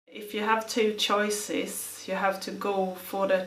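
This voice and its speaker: A woman with a Swedish accent speaks at a very slow pace, her medium-pitched intonation monotone and flat. Noticeable background noise and audible room echo surround her voice. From Sweden. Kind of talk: documentary interview.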